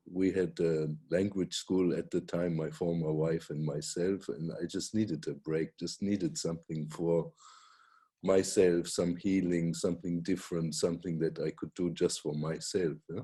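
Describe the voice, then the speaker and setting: A man speaks with a very deep, low pitch and a dark, mellow tone. His intonation stays fairly even. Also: moderate pace. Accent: German. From Germany. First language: German. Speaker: Reiki teacher and author. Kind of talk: casual chat.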